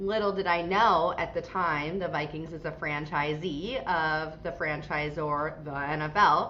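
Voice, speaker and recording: Speaking with an American accent at a fairly slow pace, a woman uses a very deep, low pitch and fairly even intonation, with audible room echo. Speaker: franchise CEO. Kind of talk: podcast interview. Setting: video call.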